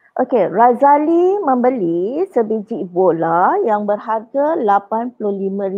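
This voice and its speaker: Against a quiet background, a woman talks at a very slow pace in a fairly high pitch with very wide pitch swings. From Johor, Malaysia. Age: 40s. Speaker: primary school maths teacher. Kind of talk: lecture. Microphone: webcam.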